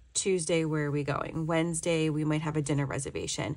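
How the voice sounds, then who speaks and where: A woman talks in a very deep, low pitch. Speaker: planner video creator. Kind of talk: casual vlog tutorial, plan with me. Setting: home, recorded before trip. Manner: chatty, friendly.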